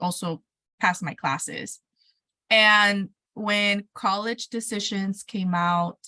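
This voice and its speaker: A woman's bright, sharp voice sits at a medium pitch, captured with a dry, close sound and no echo. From Mexico, raised there until 12, then California. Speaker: educator and entrepreneur. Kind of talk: interview. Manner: animated.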